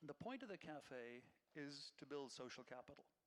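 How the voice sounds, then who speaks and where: Lively intonation from a man with a fairly high pitch and an Irish accent. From Ireland. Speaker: nonprofit executive director. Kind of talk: public talk.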